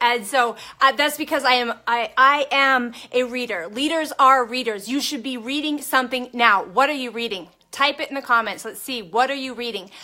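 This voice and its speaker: A woman shouting in a high, bright, sharp, energetic voice. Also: ordinary pitch variation, moderate pace, big swings in loudness. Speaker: network marketing coach. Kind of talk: motivational live stream talk. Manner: loud, shouting; energetic, fired up.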